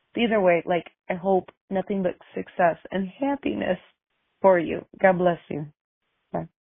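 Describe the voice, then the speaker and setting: Fairly slow delivery with long, frequent pauses, ordinary pitch variation, and a Midwestern accent. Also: woman, medium pitch for a woman. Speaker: voicemail caller. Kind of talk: voicemail.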